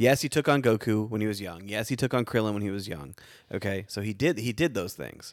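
With lively intonation and a fairly low pitch, a man speaks in a normal speaking voice on a very clean recording with a silent background. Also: fairly quick pace. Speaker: podcast host. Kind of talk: casual chat. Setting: studio.

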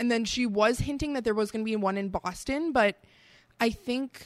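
A woman with a strong Midwestern accent talks at a moderate pace with ordinary pitch variation. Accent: Midwest, fairly thick. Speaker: podcast co-host. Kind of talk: casual chat while drinking beer.

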